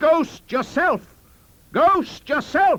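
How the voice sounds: Shouting in a put-on character voice, a man uses an extremely high pitch and fairly bright tone, with lively intonation at a very slow pace.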